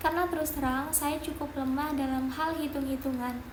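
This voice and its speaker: The flat, monotone voice comes through audible room echo and noticeable background noise. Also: woman. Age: 20s. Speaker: job applicant, management graduate. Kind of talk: mock job interview self-introduction. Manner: formal.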